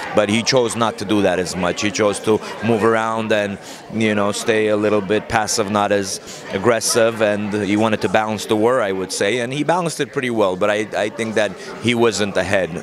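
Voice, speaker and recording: A man with an Armenian accent speaks at a fairly quick pace in a fairly low voice, his intonation fairly even. Room echo is audible, along with noticeable background noise. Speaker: boxing trainer. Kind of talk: interview. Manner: conversational, many fillers.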